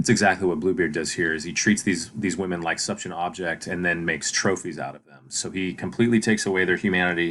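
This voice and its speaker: On a very clean recording with a silent background, a man speaks at a very fast pace in a very deep, low voice with fairly even intonation. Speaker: teacher. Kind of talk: lecture. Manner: hesitant, many fillers.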